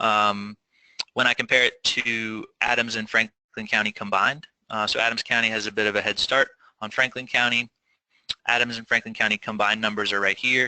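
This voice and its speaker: A man's bright, sharp voice comes at a fairly quick pace in flat, monotone intonation, with a dry, close sound and no echo. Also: medium pitch for a man. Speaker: nonprofit gleaning coordinator, panelist. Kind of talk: webinar presentation. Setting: online webinar. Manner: fast.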